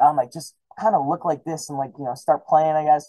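Over a quiet background, the voice races along at a very fast pace with a dark, mellow tone. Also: man. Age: 20s. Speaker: musician; podcast guest. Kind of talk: casual chat. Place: home room. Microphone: studio mic.

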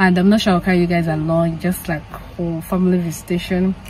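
At a fast pace, a woman speaks in a fairly low pitch with little pitch movement over faint background noise. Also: slightly mellow tone.

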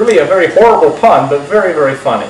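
A man's voice with light background noise and audible room echo. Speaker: magic shop host. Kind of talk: casual reminiscence to camera. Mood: warm, amused, laughing. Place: studio.

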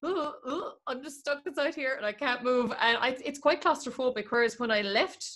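A woman talks at a moderate pace. Her voice is high-pitched with a fairly bright tone. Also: ordinary pitch variation.

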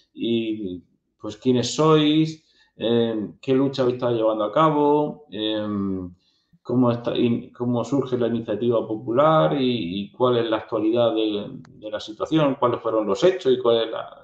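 A man speaks at a very slow pace with ordinary pitch variation, some audible room echo, and a quiet background. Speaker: interview host. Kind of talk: interview question. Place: home room. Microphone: earbuds.

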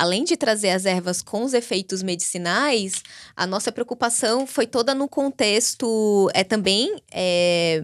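A woman talks at medium pitch and a fairly slow pace. Her intonation is lively, and the background is quiet. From Brazil, Natal (Rio Grande do Norte); Rio Grande do Norte, Brazil. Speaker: biohacking and epigenetics expert; podcast guest. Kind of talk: interview conversation. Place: studio. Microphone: studio mic.

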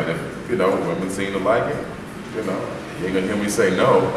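A man speaks at a fairly quick pace, with audible room echo and noticeable background noise behind him. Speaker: soul singer. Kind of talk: interview answer. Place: hall. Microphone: camera far.

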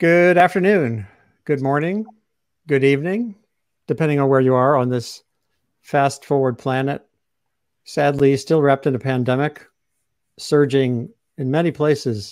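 Against a quiet background, a man speaks at a moderate pace with ordinary pitch variation and long, frequent pauses. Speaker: webcast host, journalist. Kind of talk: host introduction. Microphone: video call.

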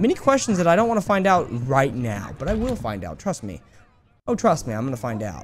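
With vocal fry and very wide pitch swings, the speaker moves at a fairly quick pace. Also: man, fairly high pitch for a man. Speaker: gaming YouTuber. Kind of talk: let's play commentary. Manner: animated.

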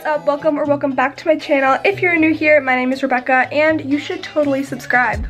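Faint music plays in the background as a woman speaks at a high pitch. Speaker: vlogger. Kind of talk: casual vlog chat. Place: home room. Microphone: phone near.

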